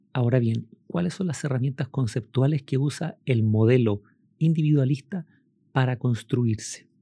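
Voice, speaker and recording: A man speaks at a moderate pace in a medium pitch, his voice somewhat breathy. His tone is dark and mellow, with ordinary pitch variation. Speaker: law professor. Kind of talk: lecture. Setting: recorded at home during quarantine.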